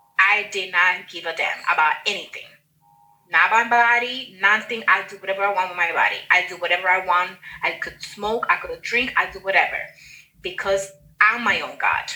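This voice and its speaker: In a Spanish accent, a woman speaks at a moderate pace with a bright, sharp tone, medium pitch, fairly even intonation, and big swings in loudness. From Dominican Republic, Santiago. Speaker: guest, writer. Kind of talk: personal testimony. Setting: video call.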